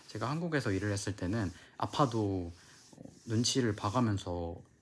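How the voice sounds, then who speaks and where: Here a man talks at a moderate pace, somewhat breathy. His pitch varies in an ordinary way. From South Korea. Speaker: flight attendant vlogger. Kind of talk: casual vlog talk to camera. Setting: recorded while abroad in Nice, France. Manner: casual with frequent filler sounds.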